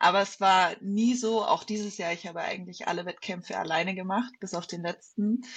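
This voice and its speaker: A somewhat breathy woman speaks at a moderate pace. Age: 30s. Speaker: bodybuilding athlete. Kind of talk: casual chat.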